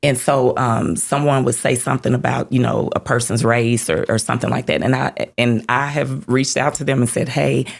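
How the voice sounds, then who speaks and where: With a Southern US accent, a woman talks in a very deep, low pitch. She keeps a fairly quick pace with hardly any pauses. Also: ordinary pitch variation, very even loudness. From Mississippi. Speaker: community leader. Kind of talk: interview conversation.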